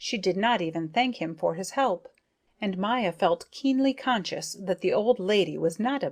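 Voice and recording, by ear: Against a quiet background, the reading aloud is in a natural voice with lively intonation.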